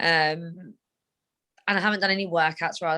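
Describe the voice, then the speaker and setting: With a London accent, a woman talks at a moderate pace in a fairly low pitch, her tone bright and sharp, her intonation fairly even, and the sound dry and close with no echo. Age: 30s. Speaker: co-host of a women's wellbeing group. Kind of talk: casual chat. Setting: video call.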